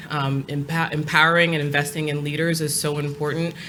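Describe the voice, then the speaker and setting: A woman's very deep, low voice with a Long Island accent and fairly even intonation, amid noticeable background noise and audible room echo. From New York, Long Island. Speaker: nonprofit executive director. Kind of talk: panel discussion. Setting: stage with audience.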